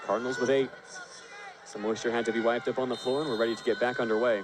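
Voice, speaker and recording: The man's medium-pitched voice holds a fairly even intonation amid noticeable background noise. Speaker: volleyball play-by-play announcer. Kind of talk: live sports play-by-play commentary.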